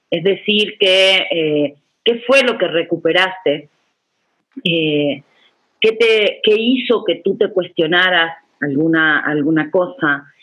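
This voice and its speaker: This woman has a medium pitch, lively intonation and very even loudness. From Uruguay. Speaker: feminist educator / workshop facilitator. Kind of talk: online workshop lecture. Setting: video call. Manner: fast.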